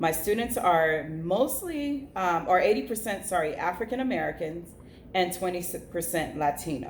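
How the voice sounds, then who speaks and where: A woman with lively intonation talks at a moderate pace, with noticeable background noise and audible room echo around her. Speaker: teacher. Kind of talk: video reflection.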